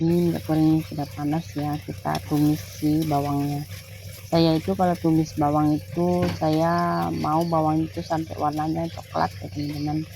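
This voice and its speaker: Noticeable background noise surrounds a woman with a very deep, low pitch. She talks at a moderate pace, her pitch swinging very widely. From East Kalimantan, Indonesia (Dayak Tunjung). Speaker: housewife vlogger. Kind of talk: cooking vlog tutorial. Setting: home kitchen. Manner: halting, stiff.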